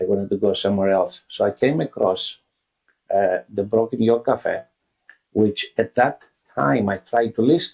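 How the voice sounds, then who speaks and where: A man with a Greek accent talks at a moderate pace with long, frequent pauses, recorded dry and close with no echo. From Greece. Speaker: restaurant founder. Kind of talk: interview.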